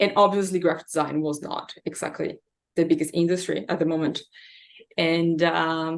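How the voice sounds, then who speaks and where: A woman's fairly low voice in a Brazilian Portuguese accent, moderate in pace and monotone in intonation. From Brazil, São Paulo. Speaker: massage therapist. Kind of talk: interview.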